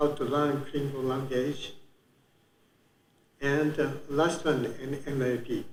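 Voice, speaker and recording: Speaking at a very slow pace in a room with audible echo, a man with a Japanese accent has a fairly high, somewhat breathy voice. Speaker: conference speaker. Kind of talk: conference talk. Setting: conference room with audience. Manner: halting, many fillers.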